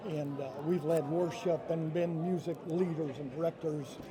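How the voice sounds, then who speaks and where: Fairly slow speech in a Southern US accent over noticeable background noise. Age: 60s. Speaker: gospel singer and former pastor. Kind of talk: casual interview. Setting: live at a music convention.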